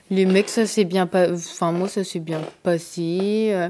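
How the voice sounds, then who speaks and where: A woman's fairly low, monotone, flat voice on a very clean recording with a silent background. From northern France, Picardy (Abbeville). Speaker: activist. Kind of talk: interview testimony.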